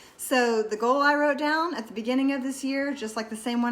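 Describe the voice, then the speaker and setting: At a fairly quick pace, a woman speaks with ordinary pitch variation amid audible room echo. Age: 40s. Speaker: wellness vlogger. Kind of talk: casual talk to camera. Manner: casual, with many fillers.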